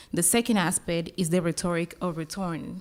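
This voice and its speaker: A woman in a Colombian accent, fairly low-pitched at a moderate pace, on a very clean recording with a silent background. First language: Spanish. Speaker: academic panel discussant. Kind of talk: conference panel commentary. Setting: conference panel with audience. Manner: halting, with fillers and restarts.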